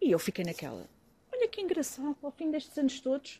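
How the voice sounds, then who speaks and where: The tone is dark and mellow, and the pace is fairly quick. The sound is dry and close, with no echo. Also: woman. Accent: Lisbon. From Lisbon, Portugal. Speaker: former hip-hop artist. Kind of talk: casual chat.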